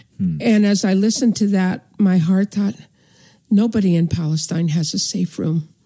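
A woman's somewhat breathy, dark, mellow voice in an American accent, at a medium pitch with ordinary variation and a moderate pace. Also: very even loudness. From northern California. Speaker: activist. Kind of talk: interview.

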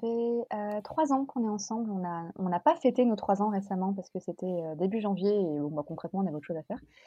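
A woman talks in a normal speaking voice at medium pitch, moving at a fairly quick pace with lively intonation. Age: 30s. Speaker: mother sharing birth story. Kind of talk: testimony.

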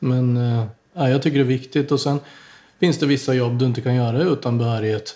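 Medium in pitch with fairly even intonation, the man has a plain, everyday voice. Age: 40s. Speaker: tile setter. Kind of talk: casual chat.

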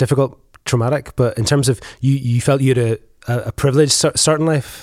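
A man with a Northern Irish accent at a fairly quick pace, ordinary pitch variation, on a very clean recording with a silent background. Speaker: podcast host. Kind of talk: interview. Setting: in-person studio.

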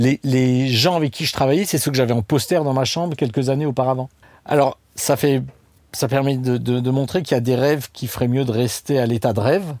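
A man speaks at a fairly quick pace with medium pitch and ordinary pitch variation. An ordinary speaking voice on a very clean recording with a silent background. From Alsace, France (Strasbourg). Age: 50s. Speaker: restaurant chain co-founder. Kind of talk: casual interview chat.

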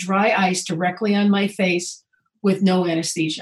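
This woman has an American accent and a medium pitch, and her voice is somewhat breathy. She talks at a fairly slow pace with fairly even intonation. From Indiana, US Midwest. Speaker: executive coach. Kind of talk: interview.

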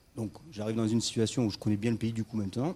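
Very fast speech comes in a dark, mellow tone. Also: man. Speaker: humanitarian association founder. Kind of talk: storytelling talk on stage. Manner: casual, hesitant with fillers.

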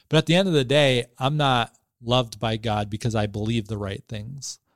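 With an American accent, a man at medium pitch talks fairly quickly in an ordinary speaking voice with ordinary pitch variation, the sound dry and close with no echo in a very clean recording with a silent background. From New England, Boston area. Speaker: pastor. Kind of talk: casual interview conversation.

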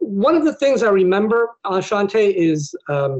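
A man with an American accent talks at a fairly slow pace in an ordinary speaking voice. The sound is dry and close, with no echo. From Buffalo, New York, US; Mexican community. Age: 60s. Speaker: immigration law professor. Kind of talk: interview conversation.

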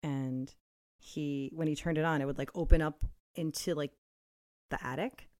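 A woman with a very deep, low pitch and a dark, mellow tone speaks at a fairly slow pace with fairly even intonation, in a very clean recording with a silent background. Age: 40s. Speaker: podcast co-host. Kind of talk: casual chat.

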